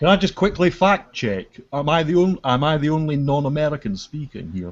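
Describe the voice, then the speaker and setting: A man's fairly high voice, fairly quick in pace, with lively intonation. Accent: Scottish. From Scotland, Edinburgh. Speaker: gamer in group hangout. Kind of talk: casual chat.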